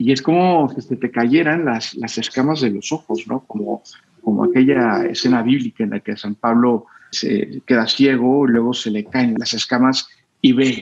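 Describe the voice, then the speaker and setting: At a fairly slow pace, a man talks in a plain, everyday voice with ordinary pitch variation. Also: medium pitch for a man. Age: 40s. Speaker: finance expert and crypto investor. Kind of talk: interview.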